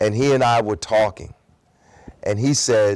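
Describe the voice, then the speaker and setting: In an American accent, a man speaks with ordinary pitch variation. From Newark, New Jersey, US. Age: 60s. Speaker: activist. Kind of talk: interview. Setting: high school.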